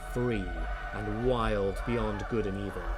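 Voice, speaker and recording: A very slow pace over music in the background. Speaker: audiobook narrator; classically trained singer and speaker. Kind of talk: dramatic audiobook reading.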